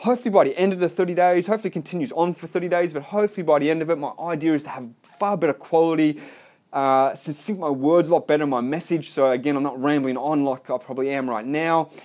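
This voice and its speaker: Talking at a very fast pace, a man with an Australian accent uses a fairly high pitch with ordinary pitch variation. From Melbourne, Australia. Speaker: podcaster, salesman. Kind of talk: solo podcast monologue. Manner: casual, hesitant with fillers.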